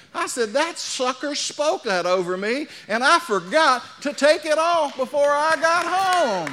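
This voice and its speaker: The voice is raised and projected, with very wide pitch swings and hardly any pauses, at a fairly slow pace. Noticeable background noise runs underneath. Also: man, extremely high pitch for a man. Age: 60s. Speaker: pastor. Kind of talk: sermon. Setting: church with congregation. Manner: animated.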